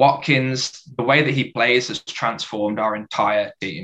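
A plain, everyday voice from a man, fairly slow in pace and medium in pitch. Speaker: football fan panelist. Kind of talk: casual group chat about football. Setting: video call.

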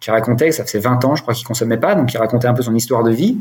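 A man speaks very fast at a medium pitch. His pitch varies in an ordinary way. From France, Dijon. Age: 40s. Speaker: sobriety coach, recovered alcoholic. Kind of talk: personal testimony in podcast interview. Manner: hesitant, many fillers and repetitions.

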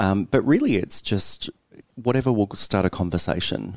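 Recorded very cleanly against a silent background, a man with an Australian accent sounds dry and close, with no echo. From central Queensland, Australia. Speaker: journalist. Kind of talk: interview. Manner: hesitant, with fillers.

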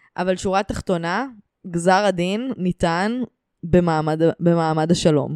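Recorded dry and close with no echo, a woman with a fairly low pitch speaks at a very slow pace with ordinary pitch variation. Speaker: podcast host and comedian. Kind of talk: monologue; casual chat.

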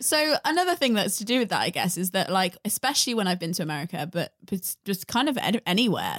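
A woman with a British accent at medium pitch, very fast and with hardly any pauses, lively intonation, dry, close sound with no echo and a very clean recording with a silent background. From UK. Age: 20s. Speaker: podcast host. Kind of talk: casual chat. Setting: home recording at a friend's house.

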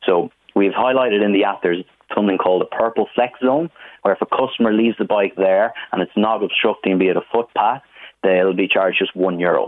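With an Irish accent, a man talks at a fairly quick pace in a fairly low pitch, with ordinary pitch variation and very even loudness. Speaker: business manager. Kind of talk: radio interview.

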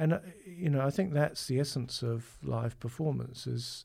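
Somewhat breathy, with a dark, mellow tone, a man speaks at a fairly slow pace with lively intonation in a very clean recording against a silent background. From New Zealand, Auckland. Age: 50s. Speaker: conductor. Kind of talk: interview.

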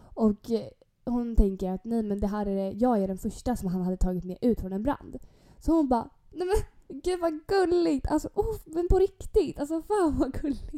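Her pitch high and swinging very widely, a woman with a dark, mellow tone speaks at a moderate pace. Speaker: podcast co-host. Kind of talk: casual chat.

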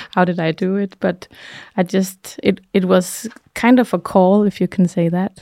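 In a Danish accent, a woman speaks at a medium pitch and a moderate pace, her tone dark and mellow and her intonation fairly even, with a dry, close sound and no echo. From Denmark, Jutland. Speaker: healer and artist. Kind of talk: interview. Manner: halting.

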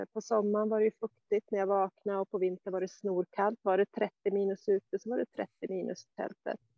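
A woman at a medium pitch speaks at a moderate pace in a monotone, flat intonation with hardly any pauses. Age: 50s. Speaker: adventurer living in a tent. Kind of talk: interview. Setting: outdoors on a mountain.

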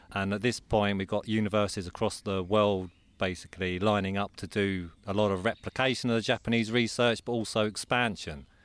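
A man with a southern English accent speaks at a fairly quick pace with hardly any pauses, his fairly low voice fairly even in intonation, on a very clean recording with a silent background. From Croydon, south London. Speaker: forest bathing institute director. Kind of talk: interview conversation. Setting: outdoors in woodland.

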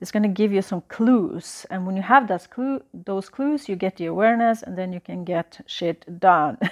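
A woman with a Norwegian accent talks at a moderate pace with hardly any pauses, at medium pitch and with ordinary pitch variation. Her loudness swings widely, and the sound is dry and close with no echo over a quiet background. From Norway. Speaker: astrology and business coach. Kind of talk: solo podcast monologue.

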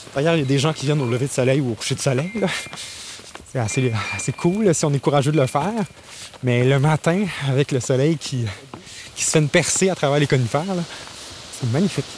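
Talking at a very fast pace yet leaving long, frequent pauses, a man with a fairly high pitch and ordinary pitch variation is heard over noticeable background noise. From Gaspésie, Quebec (Grande-Vallée). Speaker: arts festival communications director. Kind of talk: guided outdoor walk tour. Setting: outdoors on a hiking trail.

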